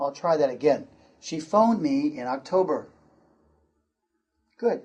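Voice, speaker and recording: Speaking with an American accent at a very slow pace, a man has a dark, mellow tone and very wide pitch swings. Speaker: pronunciation teacher. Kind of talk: lesson. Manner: slow, deliberate enunciation.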